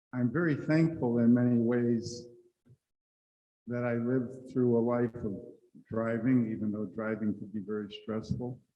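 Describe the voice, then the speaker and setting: Audible room echo surrounds a man speaking with fairly even intonation and long, frequent pauses. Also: medium pitch for a man, moderate pace. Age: 70s. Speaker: panelist sharing personal story. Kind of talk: personal testimony on a conference panel. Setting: conference room with audience.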